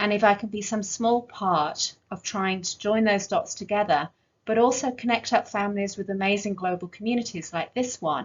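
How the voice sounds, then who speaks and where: A woman's somewhat breathy voice at medium pitch, with an English accent, ordinary pitch variation, a moderate pace and hardly any pauses. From northern England. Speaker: clinical geneticist and pediatrician. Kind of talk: conference talk. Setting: virtual conference.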